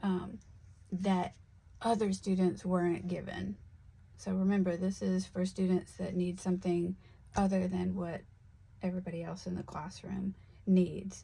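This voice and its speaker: A woman speaks at a medium pitch with a somewhat breathy voice and monotone, flat intonation. Her pace is moderate, broken by long, frequent pauses. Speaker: teacher and seller of classroom resources. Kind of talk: tutorial. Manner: hesitant, many fillers.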